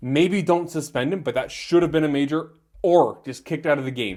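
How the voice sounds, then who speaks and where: Speaking fairly quickly in an animated tone, a man with an Ontario accent shows ordinary pitch variation. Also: very clean recording, silent background. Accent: Canadian (Ontario). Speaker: hockey podcaster. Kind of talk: solo sports recap. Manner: fast.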